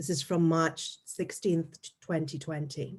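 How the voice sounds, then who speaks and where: In an English accent, a woman speaks with a dark, mellow tone that is somewhat breathy. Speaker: anthropologist. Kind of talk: academic panel talk.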